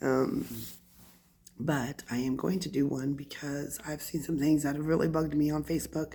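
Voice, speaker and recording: Speaking at a moderate pace, a woman with a very deep, low pitch and a dark, mellow tone keeps her intonation fairly even. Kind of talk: casual talk to camera. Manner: ranting.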